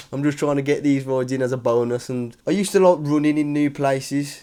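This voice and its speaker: In a strong British accent, a man speaks with a fairly high pitch and monotone, flat intonation. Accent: strong regional British. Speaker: cycling vlogger. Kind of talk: vlog to camera. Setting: hotel room. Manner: casual, chatty.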